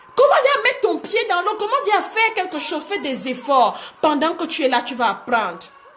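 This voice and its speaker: Over noticeable background noise, a woman speaks at a fairly quick pace with an extremely high pitch, very wide pitch swings and an animated tone. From Cameroon. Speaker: life coach. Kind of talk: live-streamed motivational talk. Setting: live video stream.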